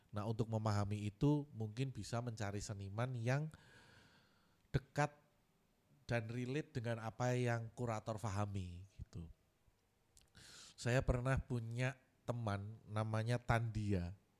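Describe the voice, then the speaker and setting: A man of medium pitch with a strong Javanese accent, at a fairly slow pace with long, frequent pauses. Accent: strong Javanese (medok). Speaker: art curator. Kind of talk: workshop lecture. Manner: casual, conversational.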